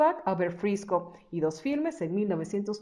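A woman with a normal speaking voice, medium in pitch, with lively intonation and a fairly slow pace. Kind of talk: biography narration.

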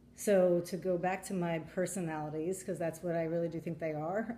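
At a moderate pace, a woman speaks with fairly even intonation and a fairly low pitch over light background noise. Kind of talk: casual vlog chat. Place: home room. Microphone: phone near.

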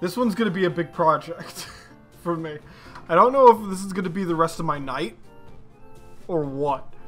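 The speech moves at a very fast pace with music in the background. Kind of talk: casual talk to camera. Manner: rambling, casual.

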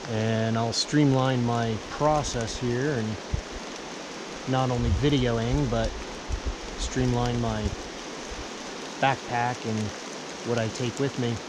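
A man talks at a very slow pace. Loud background noise fills the dry recording with no echo. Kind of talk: casual vlog chat. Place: forest. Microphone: camera far.

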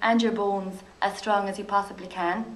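With an Irish accent, a woman speaks in fairly even intonation. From Ireland. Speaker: physiotherapist. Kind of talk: lecture. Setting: stage with audience. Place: hall.

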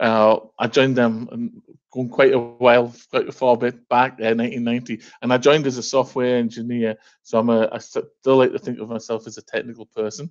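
At a moderate pace and medium pitch, a man talks in a flat monotone against a quiet background. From northeast England. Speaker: software company director. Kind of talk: business presentation. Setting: video call. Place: home room. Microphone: headset.

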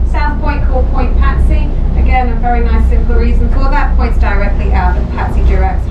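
A woman at a fairly quick pace over loud background noise. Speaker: tour guide. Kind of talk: guided tour commentary. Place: boat. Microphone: camera far.

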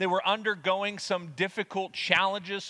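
Projecting his voice at a raised volume, a man delivers his words with a bright, sharp tone. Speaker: preacher. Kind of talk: sermon. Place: church.

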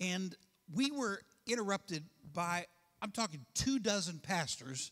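A man speaks in a raised, projected voice with a bright, sharp tone. The background is quiet. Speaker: pastor. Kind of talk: sermon. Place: church. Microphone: handheld.

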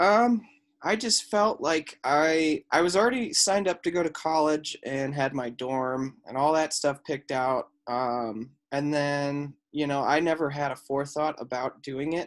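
Against a quiet background, a man with an American accent and an unremarkable speaking voice talks at a fairly slow pace, fairly high in pitch with ordinary pitch variation. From Colorado, Highlands Ranch. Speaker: former Marine and firefighter, athletic trainer. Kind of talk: interview.

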